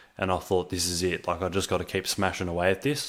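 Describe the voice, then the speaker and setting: Here a man speaks with an Australian accent. The recording is very clean, its background silent. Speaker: online entrepreneur / vlogger. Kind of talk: personal storytelling monologue to camera. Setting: home recording with microphone. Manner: casual, filler-heavy (um, uh).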